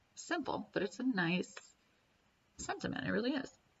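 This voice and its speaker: A woman speaks over noticeable background noise. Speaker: music reviewer. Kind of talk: casual album review monologue. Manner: fast.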